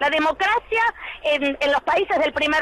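Over noticeable background noise, a woman speaks in a high pitch with an animated tone and lively intonation. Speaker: teacher. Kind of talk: radio interview.

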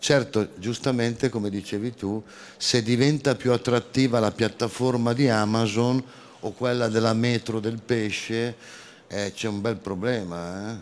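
Delivery is fairly slow, with fairly even intonation. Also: man. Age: 60s. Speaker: food industry consultant, association president. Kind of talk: round-table discussion. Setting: stage with audience. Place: hall. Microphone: handheld.

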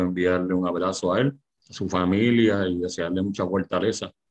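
A man speaks at a very deep, low pitch and a fairly slow pace. His intonation is monotone and flat over a quiet background. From Puerto Rico. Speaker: lawyer and political panelist. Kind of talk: political panel debate on radio. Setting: radio studio broadcast. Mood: critical, argumentative. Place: home room. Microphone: video call.

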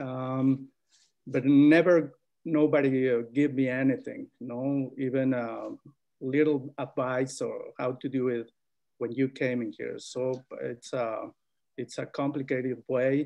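A man talks in a Spanish accent with a monotone, flat intonation at a very slow pace. The background is quiet. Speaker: migrant farm worker; panelist. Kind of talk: webinar panel testimony. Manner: halting. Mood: earnest, serious. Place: home room. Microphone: video call.

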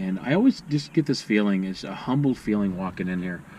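Audible room echo surrounds a man speaking at a fairly quick pace with lively intonation. His pitch is fairly low and his tone slightly mellow.

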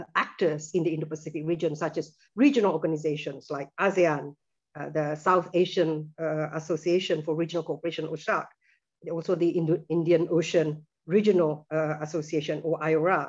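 The voice moves at a fairly quick pace with monotone, flat intonation. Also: woman, very deep, low pitch for a woman, quiet background. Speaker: presenter. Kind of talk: lecture. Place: home room. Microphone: video call.

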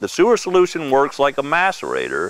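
A man at a moderate pace, in a dry sound with no echo, with light background noise. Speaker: product demonstrator. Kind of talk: tutorial presentation. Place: open country. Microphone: lapel.

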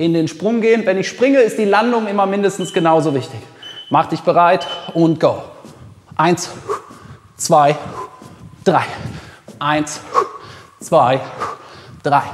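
A man with a high voice speaks at a very slow pace, pausing long and often. Light noise sits in the background, and his pitch shifts in an ordinary way. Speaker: fitness trainer. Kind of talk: workout instruction. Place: gym.

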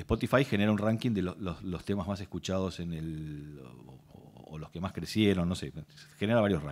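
Big swings in loudness mark this man's speech, which has a very deep, low pitch, lively intonation and a moderate pace. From Argentina. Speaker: lawyer, intellectual property specialist, speaker; speaker, lawyer. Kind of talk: workshop talk. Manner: hesitant, repeats words. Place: hall. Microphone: podium.

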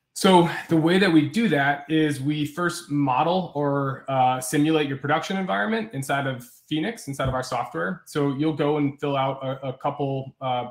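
An unremarkable speaking voice, a man at a fairly high pitch, moderate pace and ordinary pitch variation. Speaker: software company presenter. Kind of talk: webinar product demo. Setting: video call.

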